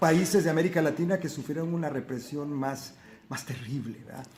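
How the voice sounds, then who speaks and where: A man talks over noticeable background noise. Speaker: son of the poet being interviewed, speaking about history and his mother's life. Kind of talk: interview answer.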